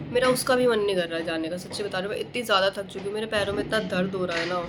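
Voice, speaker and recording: Heard through noticeable background noise and audible room echo, a woman speaks at a medium pitch. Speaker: vlogger. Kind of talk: casual vlog chat. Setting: outdoors, rooftop during Diwali.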